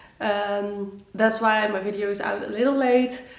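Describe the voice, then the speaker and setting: Against noticeable background noise and audible room echo, a woman with a fairly high-pitched voice talks at a fairly slow pace with fairly even intonation. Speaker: knitting podcaster. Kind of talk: casual chat. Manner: halting with many fillers.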